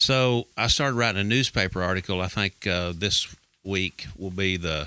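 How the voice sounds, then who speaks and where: In a very clean recording with a silent background, a man with an American accent speaks at a moderate pace in a bright, sharp tone, his very deep, low pitch showing ordinary variation. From Texas Panhandle. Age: 60s. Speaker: pastor and author. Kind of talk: casual interview chat. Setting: studio.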